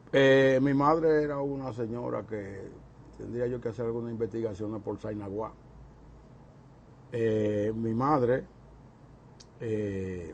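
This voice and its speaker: Very slow and broken by long, frequent pauses, a man's speech sits at medium pitch with ordinary pitch variation. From Dominican Republic, Santo Domingo. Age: 70s. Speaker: interviewee recalling his life. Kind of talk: oral history interview. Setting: recorded interview on camera.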